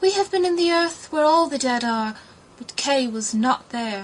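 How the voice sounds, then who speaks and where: A woman puts on a character voice pitched high. She speaks at a moderate pace. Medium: read story. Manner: solemn.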